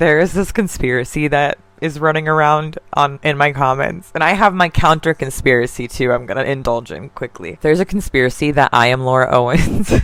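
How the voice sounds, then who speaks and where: A woman with a very deep, low pitch talks with hardly any pauses. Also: ordinary pitch variation, fairly quick pace. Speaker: commentary youtuber. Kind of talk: casual commentary vlog. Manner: casual, filler-heavy.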